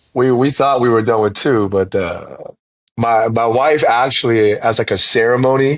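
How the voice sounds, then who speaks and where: This man has an unremarkable speaking voice with an American accent, medium pitch, fairly even intonation, very even loudness, and a moderate pace. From South Korea, grew up on US Army base. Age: 30s. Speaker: pastor and church planter. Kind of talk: podcast interview. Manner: casual, with frequent repetitions.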